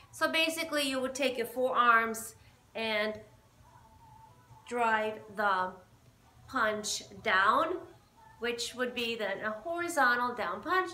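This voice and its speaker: Audible room echo surrounds a woman speaking very slowly in a high, bright, sharp voice. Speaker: boxing fitness instructor. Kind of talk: tutorial. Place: gym. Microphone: camera far.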